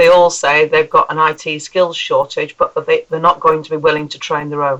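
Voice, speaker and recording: A woman with a northern English accent. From northern England. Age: 50s. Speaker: computer science teacher. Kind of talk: recorded voice message.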